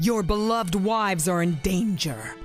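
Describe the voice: A cartoonish character voice at a middle pitch moves along at a moderate pace. Clear music plays in the background.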